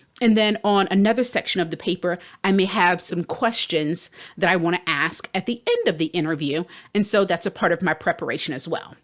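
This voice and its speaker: Fairly quick in pace, a woman speaks at a medium pitch in an ordinary speaking voice with ordinary pitch variation. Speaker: career coach and podcast host. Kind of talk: podcast tutorial.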